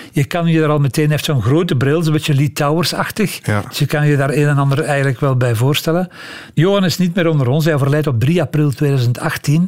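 Over noticeable background noise, a man speaks at a fairly quick pace with a fairly high pitch, ordinary pitch variation and very even loudness. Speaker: music historian and podcast storyteller. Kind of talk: storytelling conversation. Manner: animated, laughing at times.

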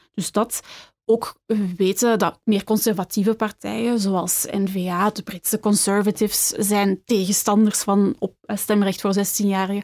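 The delivery is fairly slow and flat, in a monotone. The sound is dry and close with no echo, on a very clean recording over a silent background. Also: woman, medium pitch for a woman. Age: 20s. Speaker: political science researcher. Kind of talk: panel discussion.

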